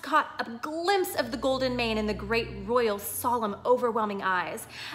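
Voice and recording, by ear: The intonation is lively while reading aloud in a natural voice.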